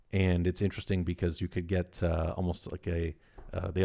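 A dark, mellow tone delivers monotone, flat intonation in a dry, close sound with no echo on a very clean recording with a silent background. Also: man. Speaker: barter company executive. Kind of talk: casual chat.

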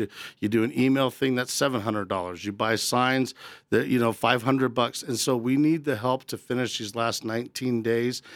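On a very clean recording with a silent background, an ordinary speaking voice delivers its words at a fairly quick pace. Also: man. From Colorado. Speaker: political candidate. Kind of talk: interview. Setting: studio.

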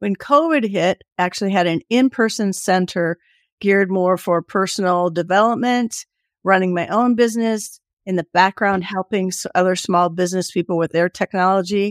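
A normal speaking voice from a woman at medium pitch and moderate pace, ordinary pitch variation, on a very clean recording with a silent background and a dry, close sound with no echo. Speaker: community consultant. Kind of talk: casual interview.

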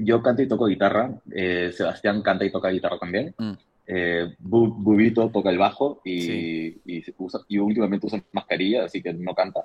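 Using an ordinary speaking voice, a man talks at a fairly low pitch and moderate pace with ordinary pitch variation and hardly any pauses. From Peru. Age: 30s. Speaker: musician. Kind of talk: casual interview.

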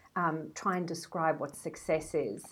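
The recording is very clean, with a silent background. A woman with a South African accent speaks at a fairly low pitch and a fairly slow pace. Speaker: brand strategist. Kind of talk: interview.

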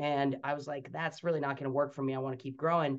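In a normal speaking voice, a man talks at a fairly quick pace. His intonation is fairly even, and the background is quiet. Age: young. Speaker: franchise development executive. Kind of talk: interview.

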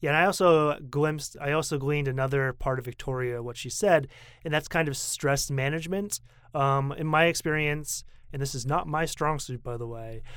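A man with an American accent speaks at a moderate pace in a fairly high pitch, with fairly even intonation and an unremarkable speaking voice, on a very clean recording with a silent background. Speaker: podcast host. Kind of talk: casual chat.

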